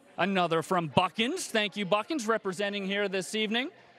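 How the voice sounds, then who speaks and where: This man's pitch is high with ordinary variation, set against noticeable background noise. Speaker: telethon host. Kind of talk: live telethon hosting. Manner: animated.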